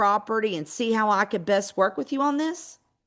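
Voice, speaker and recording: A woman with a Georgia accent at a fairly quick pace and fairly high pitch, over a quiet background. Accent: Southern US accent (Georgia). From US South, Georgia. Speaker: real estate investor and trainer. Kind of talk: webinar training. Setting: live online webinar.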